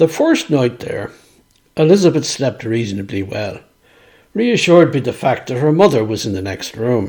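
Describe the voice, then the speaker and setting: A man speaks at a moderate pace and medium pitch in a Dublin accent, his pitch swinging very widely. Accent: Dublin Irish. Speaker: author and storyteller. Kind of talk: reading aloud.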